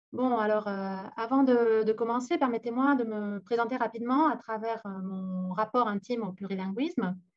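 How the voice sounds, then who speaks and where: Speaking in a Catalan accent, a woman uses a fairly high pitch, ordinary pitch variation and a moderate pace. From Aragon, Spain (Zaragoza), Catalan-speaking family. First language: Catalan (speaking French). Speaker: university lecturer. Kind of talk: conference talk.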